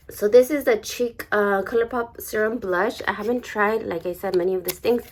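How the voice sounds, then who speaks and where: Noticeable background noise under a woman's moderate-paced speech, fairly high in pitch with ordinary variation. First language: not English. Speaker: beauty vlogger. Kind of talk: unboxing video. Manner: hesitant, many fillers.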